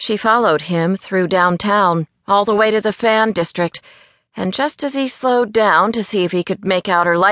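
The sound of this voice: Against a quiet background comes an unforced reading voice with ordinary pitch variation.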